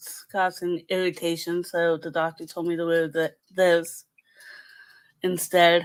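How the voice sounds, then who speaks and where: Soft-spoken and fairly low in pitch, a woman talks in a monotone, flat intonation with big swings in loudness. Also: fairly slow pace. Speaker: live stream host. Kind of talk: casual chat. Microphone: too quiet.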